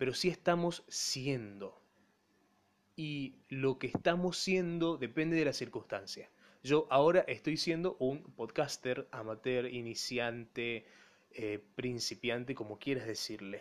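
At a very slow pace, a man talks in a medium pitch, varying it in an ordinary way. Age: 20s. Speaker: podcaster and broadcasting student. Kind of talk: solo monologue podcast.

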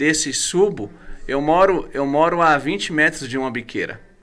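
A man speaks in an ordinary speaking voice at a fairly high pitch. His pace is fairly slow, with ordinary pitch variation. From Brazil, Guarulhos (São Paulo). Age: 30s. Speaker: pastor. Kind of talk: casual chat.

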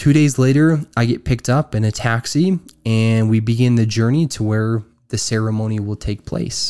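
Over a very clean recording with a silent background, a man speaks with an American accent in a dark, mellow tone. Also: medium pitch for a man, ordinary pitch variation, moderate pace. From Utah. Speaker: podcast host. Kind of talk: personal storytelling monologue.

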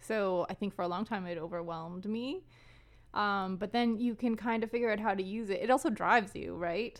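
A woman talks fairly quickly. The recording itself is very clean, and the background is silent. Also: medium pitch for a woman, ordinary pitch variation. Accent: Canadian prairie. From Canadian prairies. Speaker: film and library worker. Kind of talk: casual interview.

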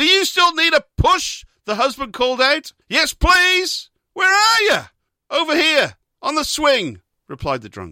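An extremely high-pitched male voice, raised and projected, with lively intonation, big swings in loudness, a bright, sharp tone and a fairly slow pace, in a dry, close sound with no echo. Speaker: radio host. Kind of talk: comedic banter while reading out jokes from a joke book, not stand-up.

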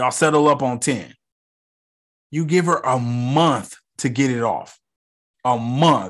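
Against a quiet background, a man speaks in an animated tone. His pitch varies in an ordinary way. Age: 30s. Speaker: TV review podcaster. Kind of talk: casual solo commentary.

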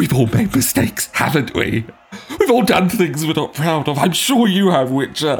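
A man speaks in a put-on character voice at a moderate pace. His pitch sits fairly high. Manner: blustering, then pleading in terror.

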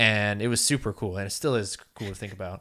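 A man at a moderate pace, bright and sharp in tone with fairly even intonation, in a very clean recording with a silent background. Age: 20s. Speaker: podcast co-host. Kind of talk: casual chat.

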